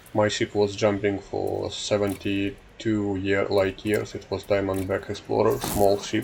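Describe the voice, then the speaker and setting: Over noticeable background noise, a man talks in a fairly low, monotone voice with flat intonation and hardly any pauses. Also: fairly slow pace. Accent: non-native. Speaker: gaming YouTuber. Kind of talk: casual gameplay commentary. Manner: halting, many filler sounds.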